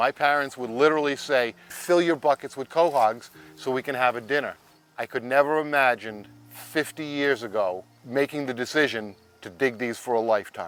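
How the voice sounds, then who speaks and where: Using a Rhode Island accent, a man talks at a medium pitch and a moderate pace with ordinary pitch variation. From Rhode Island, Warwick. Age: 60s. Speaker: commercial clam harvester. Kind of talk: casual chat.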